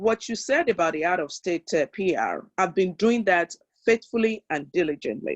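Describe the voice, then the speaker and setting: The speaker talks at a moderate pace with a Nigerian accent. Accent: African (Nigerian). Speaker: real estate investor, webinar participant. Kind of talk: question in live webinar.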